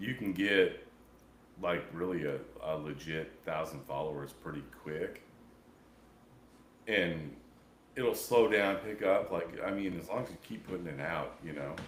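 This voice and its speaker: With an American accent, a man speaks in a raspy, very deep, low pitch, with long, frequent pauses and audible room echo. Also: ordinary pitch variation, fairly slow pace. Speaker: podcast host. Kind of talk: casual chat. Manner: casual, halting.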